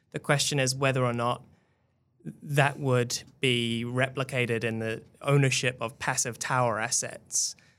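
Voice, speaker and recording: On a very clean recording with a silent background, a man of medium pitch speaks at a fairly slow pace in a flat monotone. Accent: New Zealand. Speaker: tech reporter. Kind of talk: casual chat.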